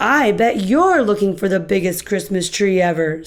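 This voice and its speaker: A raspy, female-sounding put-on character voice at a middle pitch, delivered at a moderate pace. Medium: read story.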